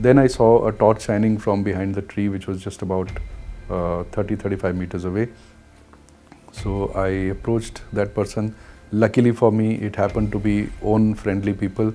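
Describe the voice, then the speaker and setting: A man with an Indian accent speaks at a moderate pace. His fairly low voice stays monotone and flat. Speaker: commercial helicopter pilot. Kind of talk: interview answer. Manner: hesitant, frequent fillers.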